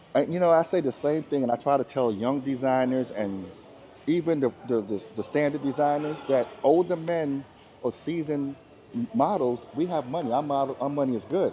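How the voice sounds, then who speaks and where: A man with an American accent and a fairly high pitch is heard against noticeable background noise. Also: ordinary pitch variation, moderate pace. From US Virgin Islands, Saint Thomas. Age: 60s. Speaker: model and former correction officer. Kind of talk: interview. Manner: animated.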